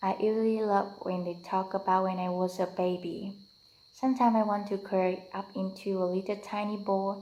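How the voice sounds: A natural reading voice moves through the text with fairly even intonation.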